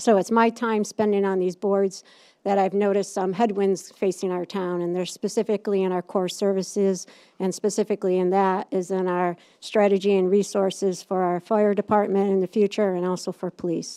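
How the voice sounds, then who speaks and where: With an upstate New York accent, a woman speaks fairly quickly in a dark, mellow tone at medium pitch with monotone, flat intonation, recorded with a dry, close sound with no echo over a quiet background. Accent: upstate New York accent, unfamiliar locally. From upstate New York, Utica. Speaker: political candidate. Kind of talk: candidate forum speech. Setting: public meeting with audience. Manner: halting, many fillers.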